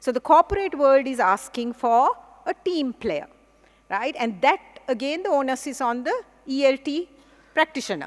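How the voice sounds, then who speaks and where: A woman with a Sri Lankan accent speaks fairly quickly in a high voice with lively intonation. The sound is dry and close, with no echo. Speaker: English professor. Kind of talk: conference plenary lecture.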